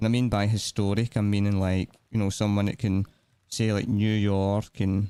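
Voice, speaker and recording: A man with a fairly low pitch and a dark, mellow tone speaks with monotone, flat intonation and very even loudness, in a dry, close sound with no echo. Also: moderate pace. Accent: Scottish. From Scotland. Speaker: gaming streamer. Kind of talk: live gameplay stream chat.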